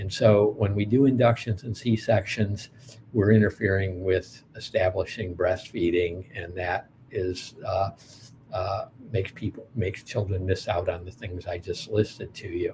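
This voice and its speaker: A somewhat breathy man with an American accent, fairly low in pitch, fairly even in intonation and fairly slow in pace. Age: 60s. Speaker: pediatrician and anthropologist. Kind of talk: lecture. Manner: halting, many fillers.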